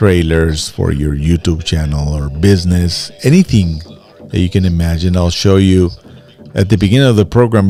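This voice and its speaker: Music plays in the background as a man with a very deep, low pitch and a Mexican accent talks at a moderate pace with ordinary pitch variation. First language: Spanish. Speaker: streamer and voice-over producer. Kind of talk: live stream casual talk. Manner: halting with repetitions.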